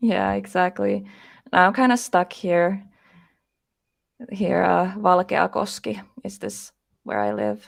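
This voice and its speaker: A woman speaks with a Finnish accent at a very slow pace, leaving long, frequent pauses. The recording is very clean, with a silent background. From Finland. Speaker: paranormal investigator. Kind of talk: interview.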